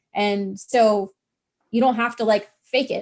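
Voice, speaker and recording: The woman speaks at a high pitch with lively intonation. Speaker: business owner. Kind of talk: casual interview. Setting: livestream.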